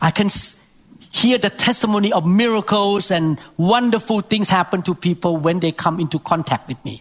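This man's voice is high-pitched, with ordinary variation in pitch and a moderate pace. The sound is dry and close, with no echo. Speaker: preacher. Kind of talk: sermon.

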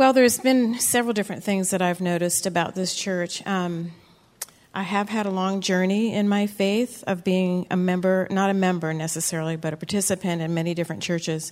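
A woman with an ordinary speaking voice, medium pitch, fairly even intonation and a fairly quick pace. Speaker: church member giving testimony. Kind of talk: testimony. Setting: church.

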